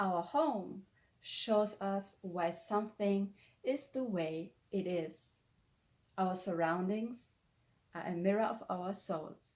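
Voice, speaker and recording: Speaking at a very slow pace with long, frequent pauses, a woman uses a medium pitch, ordinary pitch variation and a German accent. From Germany. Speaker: spiritual lifestyle vlogger. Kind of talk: explanatory talk to camera.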